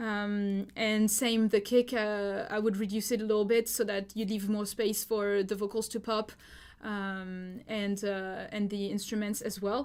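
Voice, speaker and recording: A woman with a French accent at medium pitch, monotone, flat intonation and a fairly slow pace, in a very clean recording with a silent background. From France. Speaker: music producer giving feedback. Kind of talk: live stream feedback. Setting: live stream. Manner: casual, many fillers.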